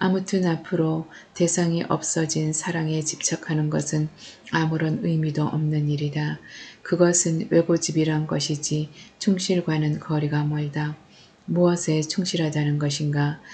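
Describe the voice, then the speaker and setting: A woman's very deep, low voice, dark and mellow, somewhat breathy, with monotone, flat intonation at a fairly slow pace. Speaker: audiobook narrator. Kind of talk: novel reading.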